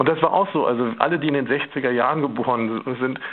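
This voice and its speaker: With lively intonation and a plain, everyday voice, a man of medium pitch speaks at a moderate pace. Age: 50s. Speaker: photographer. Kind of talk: radio interview.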